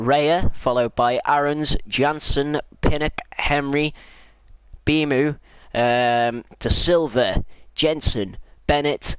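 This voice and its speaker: Very slowly and with long, frequent pauses, a man speaks at a fairly high pitch, his loudness very even and his intonation fairly even. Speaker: gaming streamer. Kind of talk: live gameplay commentary.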